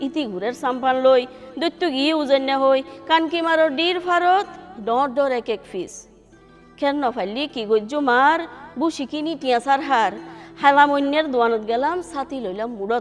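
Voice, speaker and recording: Over music in the background, a woman talks in a high pitch with ordinary pitch variation. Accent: Chittagong. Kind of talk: poetry reading. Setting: studio.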